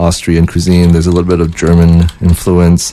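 A man's very deep, low voice with a dark, mellow tone moves at a moderate pace. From Winnipeg, Canada. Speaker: guest co-host, local music organizer. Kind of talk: casual chat. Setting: studio.

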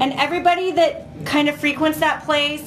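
Background noise is clearly noticeable here. The speaker is a woman. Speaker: musician. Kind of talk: casual chat.

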